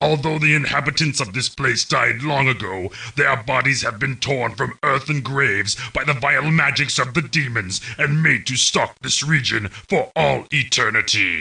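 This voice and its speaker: Using a put-on character voice, a man with a medium pitch speaks at a moderate pace. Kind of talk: video game mission briefing narration.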